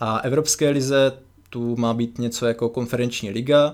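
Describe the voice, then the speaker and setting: A man's moderately paced speech in monotone, flat intonation. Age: 20s. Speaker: podcast co-host, football website founder. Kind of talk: casual chat. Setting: remote recording over computers.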